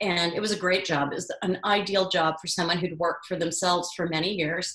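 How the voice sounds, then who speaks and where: A woman speaks in an unremarkable speaking voice. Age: 60s. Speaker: culinary educator and author. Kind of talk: interview.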